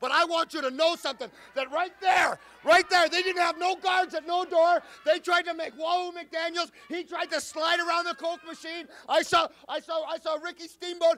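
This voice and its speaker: A man speaks in an extremely high pitch with a raised, projected voice. His pace is moderate and his intonation monotone and flat. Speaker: professional wrestler. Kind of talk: wrestling promo. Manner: loud, aggressive, taunting. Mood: angry, taunting. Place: studio. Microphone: handheld.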